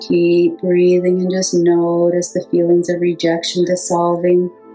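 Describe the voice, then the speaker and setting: A woman's fairly low voice at a fairly slow pace, with music in the background. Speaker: hypnotherapist. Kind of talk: guided hypnosis meditation.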